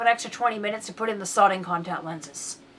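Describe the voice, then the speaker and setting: There is noticeable background noise as a woman talks at a very fast pace. Her intonation is lively. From Britain. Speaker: podcast co-host. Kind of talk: casual chat.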